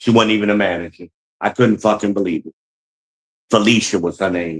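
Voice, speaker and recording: With an animated tone and a fairly low pitch, a man talks at a fairly quick pace. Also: dry, close sound with no echo. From US South. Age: 60s. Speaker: live streamer. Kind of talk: live stream rant.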